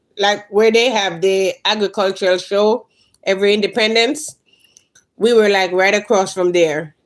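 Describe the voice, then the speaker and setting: Speaking with a Jamaican accent, a woman uses a medium pitch with ordinary pitch variation. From Jamaica, Clarendon. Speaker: lifestyle and gardening YouTuber. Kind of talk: casual live stream chat.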